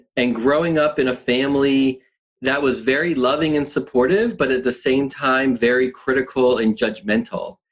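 A man has an unremarkable speaking voice at a medium pitch with ordinary pitch variation. His pace is moderate and his loudness very even. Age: 50s. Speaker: app founder and triathlon coach. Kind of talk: podcast interview.

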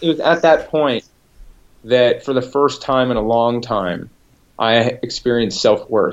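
A normal speaking voice belongs to this man, pitched at a medium level. He talks at a fairly slow pace with ordinary pitch variation. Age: 30s. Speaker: health coach and addiction recovery counselor. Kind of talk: interview testimony.

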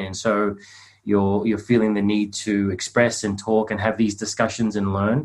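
A man's fairly low, monotone, flat delivery at a fairly quick pace, with an Australian accent and a quiet background. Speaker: men's coach and meditation teacher. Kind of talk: group video call discussion.

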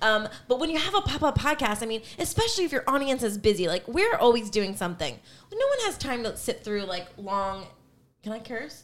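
This woman talks at a fairly quick pace in a fairly high pitch. Her pitch swings very widely. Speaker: podcast co-host. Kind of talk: casual banter.

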